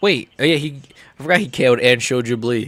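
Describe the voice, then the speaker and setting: With an American accent, a man speaks in an unremarkable speaking voice at a medium pitch and a fairly quick pace. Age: 30s. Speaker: MMA streamer. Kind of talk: live stream reaction commentary. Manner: casual, rambling with fillers.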